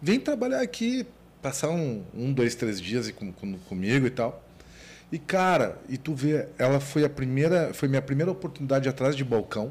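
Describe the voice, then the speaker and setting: Somewhat breathy, a man speaks in a fairly high pitch at a moderate pace. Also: lively intonation. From Porto Alegre, southern Brazil. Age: 40s. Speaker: business owner. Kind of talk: casual interview chat.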